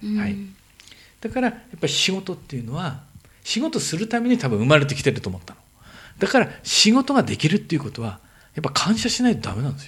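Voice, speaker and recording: The speech runs at a very fast pace with vocal fry. Both pitch and loudness swing widely. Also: man. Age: 50s. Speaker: entrepreneur. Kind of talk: casual chat.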